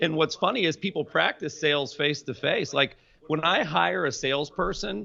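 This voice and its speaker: A man with an American accent speaks with vocal fry and ordinary pitch variation. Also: fairly high pitch for a man. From US South, Polk County, central Florida. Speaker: entrepreneur and sales expert. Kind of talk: interview.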